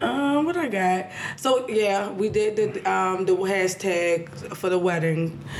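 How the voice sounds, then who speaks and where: A woman's very slow, very evenly loud speech at a medium pitch, ordinary pitch variation, and noticeable background noise. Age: 30s. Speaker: podcast guest. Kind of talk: casual chat.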